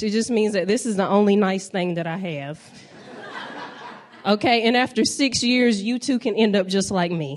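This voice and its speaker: This woman has a fairly high pitch and a Southern US accent, with ordinary pitch variation. She talks at a moderate pace over noticeable background noise. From US South, North Carolina. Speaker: stand-up comedian. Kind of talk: stand-up. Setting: stage with audience.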